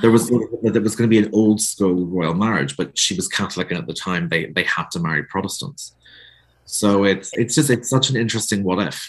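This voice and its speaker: A man with a Northern Irish accent talks at a fairly quick pace, his pitch fairly low and his intonation lively. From Northern Ireland. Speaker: author. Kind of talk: casual interview chat.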